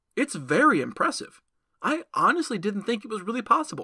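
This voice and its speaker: In a very clean recording with a silent background, a put-on character voice with a fairly high pitch moves at a fairly quick pace. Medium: read story. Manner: polite and wheedling, turning cocky.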